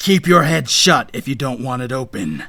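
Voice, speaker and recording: Putting on a growling character voice, a man speaks at a medium pitch. His intonation is lively and his pace moderate. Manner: growling, threatening.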